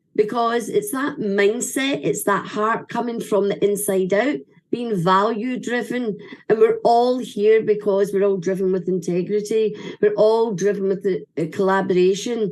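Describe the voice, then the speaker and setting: At a fairly slow pace, a woman with a medium pitch speaks in an animated tone. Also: ordinary pitch variation. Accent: Scottish. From Scotland. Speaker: event speaker. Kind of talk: ceremony speech.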